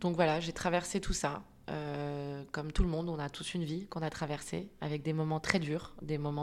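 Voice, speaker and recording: Monotone and flat, a woman with a very deep, low pitch speaks at a moderate pace. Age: 30s. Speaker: clinical psychologist and coach. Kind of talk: personal testimony. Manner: halting.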